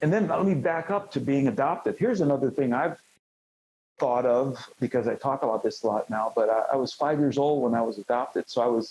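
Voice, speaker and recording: An ordinary speaking voice moves at a fairly quick pace with lively intonation. The loudness stays very even. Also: man, fairly high pitch for a man. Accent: American. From Cleveland, Ohio. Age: 60s. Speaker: former champion wrestler. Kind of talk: interview.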